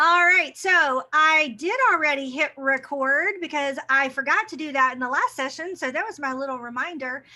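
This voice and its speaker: A woman speaks in a raised, projected voice at a high pitch with a bright, sharp tone. Her pace is moderate, with ordinary pitch variation and hardly any pauses. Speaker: teacher trainer. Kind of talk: webinar presentation. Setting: video call.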